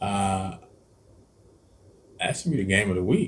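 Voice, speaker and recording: The speaker is a man. Ordinary variation runs through his pitch. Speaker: cooking and sports channel host. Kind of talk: casual sports picks chat. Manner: halting, stumbling over words.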